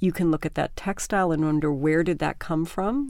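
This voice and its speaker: A woman with a normal speaking voice talks at a moderate pace and a fairly low pitch on a very clean recording with a silent background. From Canada. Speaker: artist and project founder. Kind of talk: interview.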